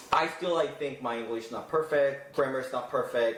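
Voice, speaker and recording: A man speaks at a moderate pace with ordinary pitch variation. Noticeable background noise and audible room echo are heard. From South Korea. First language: Korean. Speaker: interviewee, Korean student in the US. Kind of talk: casual interview. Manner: halting, many fillers.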